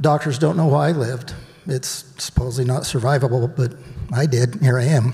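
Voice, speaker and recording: A man's shaky, medium-pitched voice moves at a moderate pace with ordinary pitch variation, set against noticeable background noise. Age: old. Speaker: retreat participant sharing healing story. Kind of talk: testimony. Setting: stage with audience. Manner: shaky, emotional.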